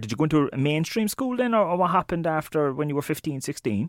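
In a very clean recording with a silent background, a man with an Irish accent talks very fast with lively intonation. His voice is fairly high, and the sound is dry and close with no echo. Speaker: podcast host. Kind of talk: interview. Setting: studio.

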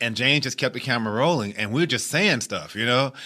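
The background is quiet. A man talks with a bright, sharp tone. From US Midwest, Chicago. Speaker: actor. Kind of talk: casual interview. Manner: repetitive stuttering starts.

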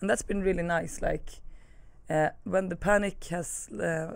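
Vocal fry runs through a woman's medium-pitched voice as she talks at a moderate pace with ordinary pitch variation. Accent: Swedish. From Sweden. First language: Swedish. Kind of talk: casual chat.

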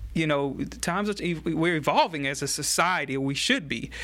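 A man with a Louisiana accent speaks at a moderate pace in a fairly high voice with a bright, sharp tone, on a very clean recording with a silent background. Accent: Louisiana Southern American. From US South, Baton Rouge, Louisiana. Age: 30s. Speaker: political candidate and community activist. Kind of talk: interview. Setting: church studio. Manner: halting, frequent repetitions.

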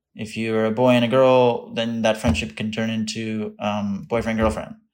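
A man with a normal speaking voice talks at a moderate pace and medium pitch, his intonation fairly even. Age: 30s. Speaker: content creator and actor. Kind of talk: casual chat.

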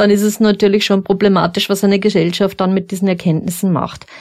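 This is a woman speaking at medium pitch. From Upper Austria. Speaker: former crime scene investigator. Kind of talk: interview. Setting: studio.

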